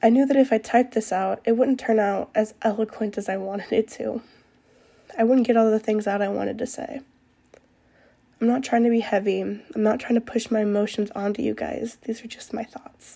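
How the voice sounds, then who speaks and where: Speaking at a fairly quick pace, a woman has a fairly high pitch, a dark, mellow tone and fairly even intonation. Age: 20s. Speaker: podcaster. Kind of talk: personal monologue. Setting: at home desk at night. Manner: loud.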